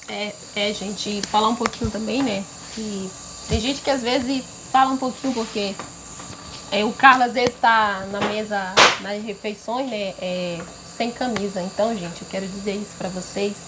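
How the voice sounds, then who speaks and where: With long, frequent pauses, a woman talks at a moderate pace and medium pitch, her intonation fairly even over noticeable background noise. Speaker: local community member. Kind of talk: casual chat to camera.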